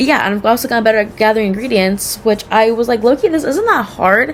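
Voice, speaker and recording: A woman speaks loudly at a very fast pace, her high voice full of lively intonation. Noticeable background noise is present. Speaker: cooking student vlogger. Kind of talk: casual self-assessment monologue. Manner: rambling with many fillers.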